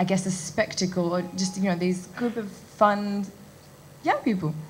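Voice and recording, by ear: Fairly even intonation at a moderate pace, with audible room echo. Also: woman.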